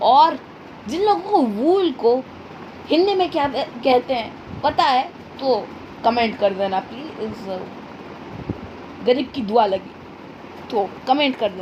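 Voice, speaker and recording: Doing a put-on character voice, a woman speaks hoarsely in a high pitch with very wide pitch swings, at a fairly slow pace with long, frequent pauses, over light background noise. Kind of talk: casual video voiceover.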